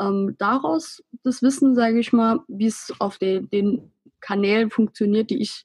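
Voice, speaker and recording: Somewhat breathy speech with ordinary pitch variation moves at a fairly slow pace in a dry, close sound with no echo. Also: woman. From Saarland, Germany. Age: 20s. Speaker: Instagram blogger on self-love. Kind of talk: casual interview.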